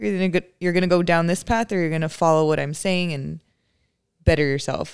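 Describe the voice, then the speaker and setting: Fairly low for a woman, her pitch varies in an ordinary way, and she has an ordinary speaking voice. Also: fairly quick pace. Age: 20s. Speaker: church member sharing testimony. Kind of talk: casual chat.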